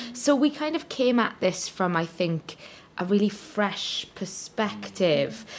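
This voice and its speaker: A woman with a Welsh accent speaks at a medium pitch and a very slow pace. Her pitch swings very widely. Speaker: musical theatre performer. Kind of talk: casual interview chat.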